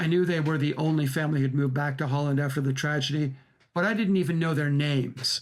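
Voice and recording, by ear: The voice belongs to a man with a fairly high pitch. His intonation is fairly even.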